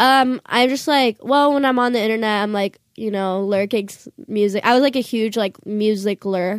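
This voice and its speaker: A woman with an ordinary speaking voice and fairly high pitch talks at a moderate pace with hardly any pauses and ordinary pitch variation, in a very clean, dry, close recording with no echo and a silent background. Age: 20s. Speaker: musician and internet influencer. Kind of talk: casual interview chat. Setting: studio.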